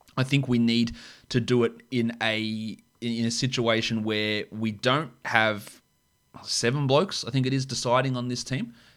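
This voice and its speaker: A man's medium-pitched voice with an Australian accent, fairly even intonation and a fairly slow pace, on a very clean recording against a silent background. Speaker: AFL podcast co-host. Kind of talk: casual sports discussion.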